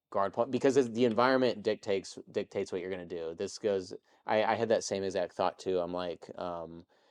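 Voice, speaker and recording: A man with a fairly low pitch, a normal speaking voice and ordinary pitch variation, at a fairly quick pace, with a dry, close sound with no echo and a quiet background. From Texas. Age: 30s. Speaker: jiu-jitsu competitor and YouTube creator. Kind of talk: casual interview chat.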